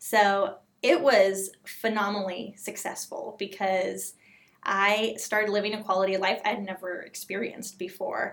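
With an American accent and a normal speaking voice, the speaker keeps a moderate pace and ordinary pitch variation. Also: woman, medium pitch for a woman. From Southern California. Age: 30s. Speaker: patient advocate. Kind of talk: interview.

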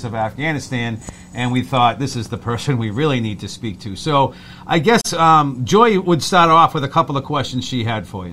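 The voice moves at a fairly quick pace with ordinary pitch variation. Noticeable background noise can be heard. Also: man. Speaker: podcast host. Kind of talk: interview.

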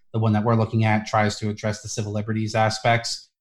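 A man with an American accent talks at a very fast pace with a fairly low pitch, sounding somewhat breathy. The recording is very clean, with a silent background. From New Jersey and New York. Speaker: policy analyst. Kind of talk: casual interview.

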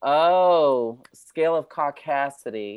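Very deep and low for a woman, her American-accented voice moves with lively intonation over a very clean recording with a silent background. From Chicago, US Midwest. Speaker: writer. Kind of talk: casual chat.

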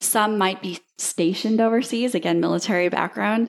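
Speaking with an American accent, a woman talks at a medium pitch and a moderate pace. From Iowa, US Midwest (Dubuque). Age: 30s. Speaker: virtual assistant agency founder. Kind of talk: interview.

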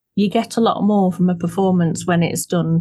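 A woman's fairly low, monotone voice with flat intonation, somewhat breathy and dark, mellow in tone, at a fairly quick pace. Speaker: podcast host. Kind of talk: interview, conversational.

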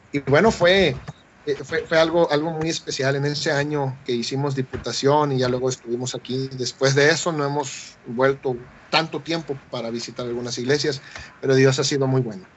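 The man has a normal speaking voice with a fairly high pitch. He keeps a moderate pace and fairly even intonation. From Mexico, Chiapas (Tapachula). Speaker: missionary. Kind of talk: radio interview.

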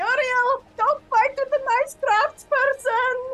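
A put-on character voice at an extremely high pitch, shouting at a very slow pace over background music.

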